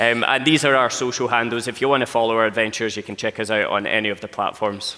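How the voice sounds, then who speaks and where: A man speaks at a very fast pace in a strong Scottish accent. His voice is medium in pitch, with fairly even intonation. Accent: thick Scottish. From Scotland. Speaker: travel content creator. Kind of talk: live presentation.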